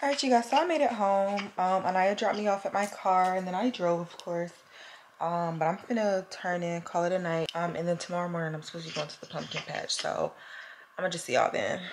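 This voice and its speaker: A woman's very fast, animated voice in an American accent, with ordinary pitch variation and noticeable background noise. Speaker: college student vlogger. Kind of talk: casual vlog chat. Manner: animated, chatty. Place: home room. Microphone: phone near.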